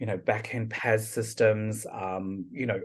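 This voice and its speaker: A man with a New Zealand accent speaks at a fairly slow pace in a fairly low, somewhat breathy voice. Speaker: product and service manager. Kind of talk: podcast interview.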